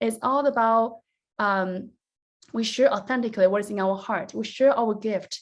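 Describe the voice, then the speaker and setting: At a moderate pace, a woman with a Chinese accent talks with ordinary pitch variation. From China, rural mountain village. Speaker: business coach. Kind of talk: online workshop presentation. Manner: animated.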